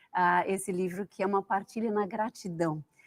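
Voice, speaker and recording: A woman with a Brazilian accent speaks with ordinary pitch variation on a very clean recording that has a silent background and a dry, close sound with no echo. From Brazil, São Paulo. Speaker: founder of a pilgrim guiding project, author. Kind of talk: TV talk show interview.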